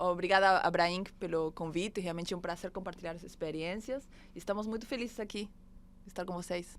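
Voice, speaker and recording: With an Argentine accent, a woman speaks at a fairly quick pace. Her medium pitch stays fairly even in intonation. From Argentina. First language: Spanish (speaking Portuguese). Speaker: innovation manager, architect. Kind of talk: podcast interview.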